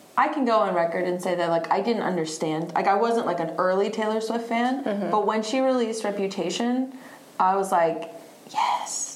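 A woman with an American accent talks at a fairly quick pace, using a medium pitch and ordinary pitch variation. The room echo is audible, and there is noticeable background noise. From US Southeast (Virginia, North Carolina). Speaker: musician. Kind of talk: casual chat. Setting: live podcast recording at a venue.

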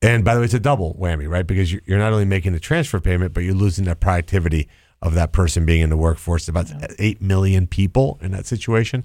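A man's very deep, low voice at a very fast pace, with ordinary pitch variation, on a very clean recording over a silent background. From Colombia. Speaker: Senate candidate, businessman. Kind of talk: interview. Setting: studio.

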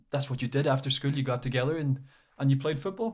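The speaker has an Irish accent and fairly even intonation. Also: man. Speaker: academic and former footballer. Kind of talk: casual interview.

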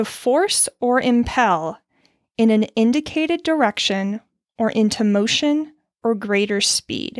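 A woman with a normal speaking voice talks fairly slowly at a fairly high pitch, with lively intonation and very even loudness, in a very clean recording with a silent background and a dry, close sound with no echo. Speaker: podcast host sharing mental health coping skills. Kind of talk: solo monologue, personal reflection with some reading aloud. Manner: casual, candid, self-deprecating, with laughs.

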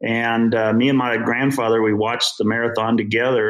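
This man has an unremarkable speaking voice at medium pitch. He talks at a fairly quick pace. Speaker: amateur runner. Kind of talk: interview conversation.

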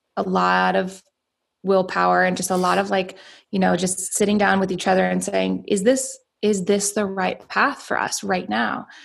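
Recorded very cleanly against a silent background, a woman speaks at a moderate pace. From US South, Atlanta, Georgia. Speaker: entrepreneur. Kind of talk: interview.

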